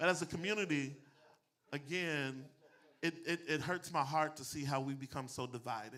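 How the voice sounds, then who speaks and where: A man's fairly high, bright, sharp voice, animated in tone, with ordinary pitch variation, a moderate pace and long, frequent pauses. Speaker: pastor and public speaking coach. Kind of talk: motivational talk to a live audience. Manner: preachy, animated delivery.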